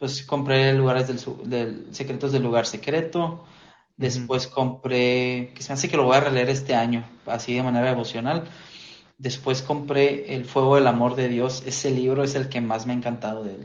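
In a Mexican accent, the speaker talks at a moderate pace with monotone, flat intonation, and audible room echo is present. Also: man, medium pitch for a man. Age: 20s. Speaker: church lay preacher. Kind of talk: casual chat.

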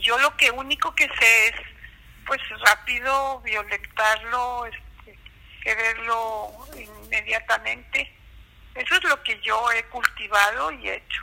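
A woman with a fairly high pitch speaks at a very slow pace, with long, frequent pauses and ordinary pitch variation. Her loudness swings widely, and background noise is noticeable. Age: 80s+. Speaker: interviewee. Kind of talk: casual chat. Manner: halting.

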